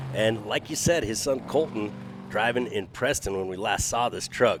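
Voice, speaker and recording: A man's fairly low voice with lively intonation at a moderate pace, a normal speaking voice. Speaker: monster truck show commentator. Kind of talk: color commentary.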